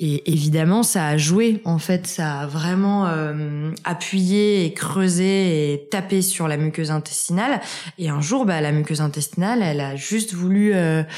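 A woman talks at a fairly slow pace and fairly low pitch with ordinary pitch variation. There is noticeable background noise. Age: 20s. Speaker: author on natural health and Crohn's disease. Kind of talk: interview. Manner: hesitant, many fillers.

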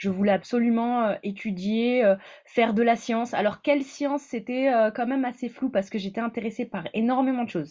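A normal speaking voice from a woman, pitched on the high side, with usual rises and falls in pitch. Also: fairly quick pace. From northern France. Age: 20s. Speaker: PhD student in neuroscience. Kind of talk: interview.

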